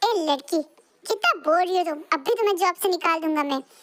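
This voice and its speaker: A squeaky, put-on character voice. It moves at a fairly quick pace. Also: woman, extremely high pitch for a woman. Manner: shouting, threatening.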